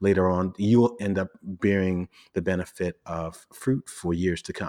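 A man with an American accent talks at a moderate pace in a very deep, low pitch. The recording is very clean with a silent background, and the sound is dry and close with no echo. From Brooklyn, New York (Flatbush), Jamaican family. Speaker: personal finance blogger. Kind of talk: casual interview chat.

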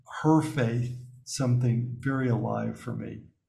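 A man with an American accent talks at a medium pitch in a monotone, flat way, with audible room echo around him. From US South, Alabama. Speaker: spiritual teacher and author. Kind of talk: interview.

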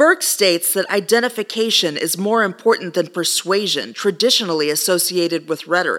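A woman with an American accent talks at a fairly quick pace, barely pausing, in an ordinary speaking voice. Her pitch is medium with ordinary variation. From Texas. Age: 40s. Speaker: podcast host, rhetoric academic. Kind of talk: scripted solo podcast monologue.

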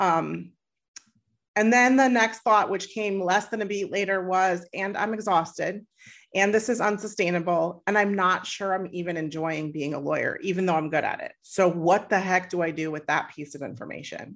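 A woman with a normal speaking voice at a medium pitch, moderate pace and ordinary pitch variation, against a quiet background. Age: 40s. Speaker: happiness coach. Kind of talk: interview conversation.

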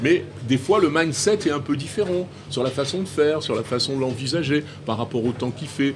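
A man speaks in an animated tone with ordinary pitch variation as music plays in the background. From rural France. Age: 60s. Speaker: chef and restaurant owner. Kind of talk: interview conversation.

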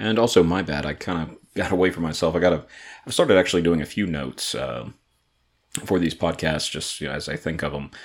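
A man's very deep, low voice in an American accent, very fast, with ordinary pitch variation, on a very clean recording with a silent background. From Atlanta, Georgia. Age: 30s. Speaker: podcast host and brewery owner. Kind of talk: casual solo podcast monologue. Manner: halting with many fillers.

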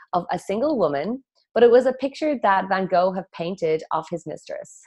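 A woman with an Irish accent, medium pitch and lively intonation. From west of Ireland. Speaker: feng shui consultant. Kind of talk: interview conversation.

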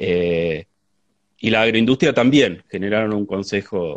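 A man talks at a fairly slow pace with a fairly low pitch. He has a plain, everyday voice. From Argentina, La Pampa province. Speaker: agronomist and researcher. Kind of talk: live interview conversation. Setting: Instagram live stream.

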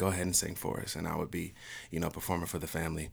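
Very deep, low pitch from a man, delivered in a flat monotone. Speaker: church worship leader and songwriter. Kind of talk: casual podcast conversation.

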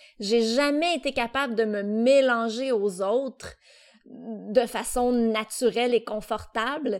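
A woman's fairly high voice at a very slow pace, with fairly even intonation. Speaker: podcast co-host. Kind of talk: casual chat. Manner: loud at times; very expressive.

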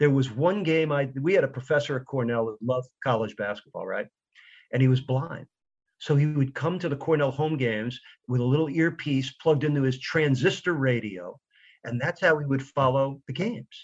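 Delivered at a fairly quick pace in an American accent, the somewhat breathy voice shows ordinary pitch variation. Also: man. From New York. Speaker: radio play-by-play announcer. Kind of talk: interview. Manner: energetic.

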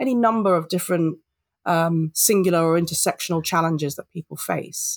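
In a London accent, a woman talks at a fairly quick pace and a fairly low pitch, the sound dry and close with no echo. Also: ordinary pitch variation. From London, England. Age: 40s. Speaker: diversity and inclusion consultant. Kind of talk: interview.

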